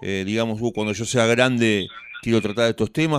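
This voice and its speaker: A man with a Rioplatense accent speaks at a fairly quick pace and a medium pitch. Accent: Argentine Rioplatense Spanish. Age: 50s. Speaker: radio host. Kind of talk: radio interview. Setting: radio studio.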